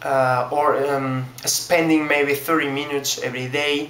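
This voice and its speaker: With a Spanish accent, a man talks very slowly in a fairly high, monotone, flat voice, with audible room echo and noticeable background noise. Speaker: language learner vlogger. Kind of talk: video response monologue. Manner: halting, many fillers and repetitions.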